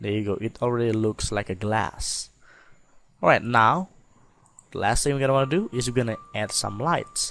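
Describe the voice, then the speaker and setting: Speaking with a non-native accent, a man takes long, frequent pauses at a moderate pace, with medium pitch and ordinary pitch variation. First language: not English. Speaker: software tutorial maker. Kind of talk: tutorial. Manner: halting, many fillers; casual.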